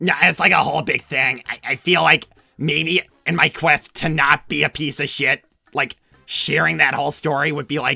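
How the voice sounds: Over faint music in the background, a man does a put-on character voice at a moderate pace with few pauses, using a fairly high pitch, a bright, sharp tone, vocal fry and fairly even intonation.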